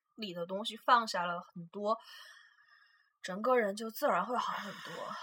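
A woman with a bright, sharp tone talks at a fairly slow pace. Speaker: podcast co-host, international student. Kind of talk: casual chat.

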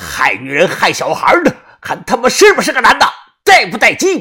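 Shouting in a put-on character voice, a man with a high pitch and vocal fry sounds bright and sharp, his pitch swinging very widely. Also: fairly quick pace.

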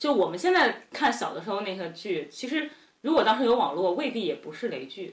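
A woman speaks fairly quickly in a fairly high pitch, somewhat breathy. Her pitch swings very widely and her loudness rises and falls sharply. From Henan, near Shandong border. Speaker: graduate student. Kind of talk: casual chat.

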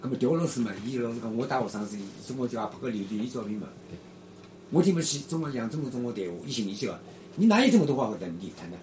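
Noticeable background noise accompanies a man at a medium pitch. He talks at a very fast pace with lively intonation. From Shanghai (Yangpu district). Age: 70s. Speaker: retired amateur footballer and former dancer. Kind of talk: oral history interview. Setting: home room in an alley.

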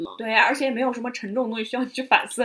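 A high-pitched woman speaks in a raised, projected voice. Noticeable background noise is present. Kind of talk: casual chat.

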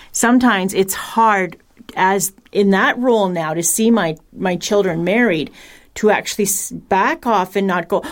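A woman with a normal speaking voice talks at a moderate pace using fairly even intonation. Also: very clean recording, silent background. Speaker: radio show panelist, parent. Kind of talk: educational radio discussion.

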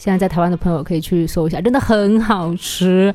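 A woman talks very rapidly, her pitch varying in an ordinary way. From Taiwan, Taipei. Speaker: guest, Taiwanese food expert. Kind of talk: casual chat.

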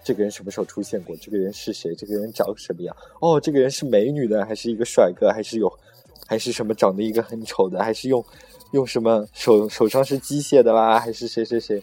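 Noticeable background noise surrounds a man talking at a very fast pace with big swings in loudness. His pitch is medium, with ordinary pitch variation. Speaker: podcast host. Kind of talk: casual chat. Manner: animated.

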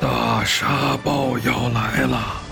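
Using a put-on character voice, a man speaks very slowly at a medium pitch with vocal fry and fairly even intonation as faint music plays behind him.

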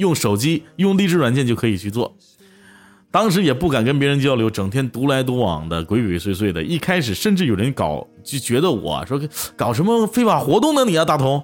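Man with a Northeastern Chinese accent, medium pitch, a fairly quick pace, and very wide pitch swings. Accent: Northeastern Mandarin. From Northeast China, Tieling. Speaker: online audio streamer. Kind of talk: personal storytelling. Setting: livestream.

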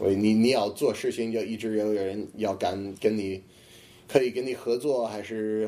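With a non-native accent, a man speaks at a moderate pace and a fairly low pitch, in a dark, mellow tone with fairly even intonation, on a very clean recording with a silent background. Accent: foreign speaker of Chinese, good fluency. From US, Boston. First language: English (speaking Chinese). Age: 20s. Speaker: comedian. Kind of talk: casual interview. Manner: halting, repetitive.

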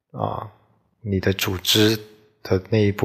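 A man speaks with a fairly low pitch and vocal fry. His intonation is monotone and flat. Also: very clean recording, silent background. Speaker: solo podcaster, office worker. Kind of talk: casual solo monologue. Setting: late-night solo recording. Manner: halting, many fillers.

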